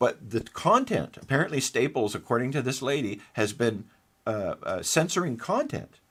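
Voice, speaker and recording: In a very clean recording with a silent background, a man talks at a moderate pace with lively intonation. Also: medium pitch for a man. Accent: Canadian. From Manitoba, Canada. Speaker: forensic engineer and report author. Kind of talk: interview. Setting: studio. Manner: repetitive, halting restarts.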